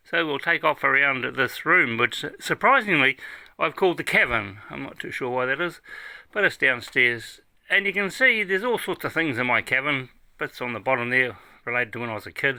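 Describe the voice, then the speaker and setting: The voice has a bright, sharp tone, lively intonation and a New Zealand accent, moving at a fairly quick pace. The recording is very clean with a silent background. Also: man, medium pitch for a man. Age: 70s. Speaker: music fan and collector. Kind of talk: casual video tour. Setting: home room, downstairs. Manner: relaxed, casual.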